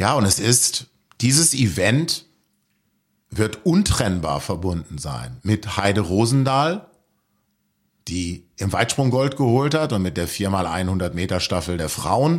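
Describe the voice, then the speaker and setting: On a very clean recording with a silent background, a man speaks at a fairly low pitch with very wide pitch swings. His pace is very slow, with long, frequent pauses. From Lower Rhine, Germany. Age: 50s. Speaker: author. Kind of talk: radio interview. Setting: studio.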